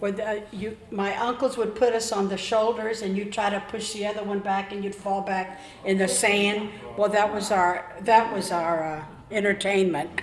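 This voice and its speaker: The speaker has an American accent and a fairly even intonation at a moderate pace. Noticeable background noise and audible room echo are present. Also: woman, medium pitch for a woman. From Florida (Tarpon Springs), born Pennsylvania. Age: 80s+. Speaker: longtime local resident. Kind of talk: oral history storytelling.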